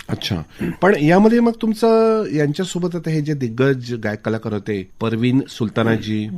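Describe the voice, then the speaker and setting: His voice sits fairly high for a man and moves through very wide pitch swings. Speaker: radio interviewer. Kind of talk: radio interview host.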